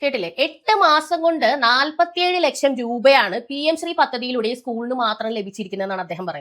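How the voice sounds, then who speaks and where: A woman speaks high in her range, her pitch swinging very widely and her loudness rising and falling in big jumps. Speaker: YouTube political commentator. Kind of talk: political commentary monologue.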